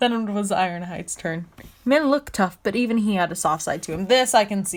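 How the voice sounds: Natural voice for reading aloud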